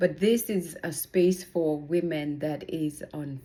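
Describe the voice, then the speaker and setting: A woman with a Kenyan accent speaks in a dark, mellow tone. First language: Kikuyu. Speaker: personal growth vlogger. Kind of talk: casual motivational vlog. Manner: halting.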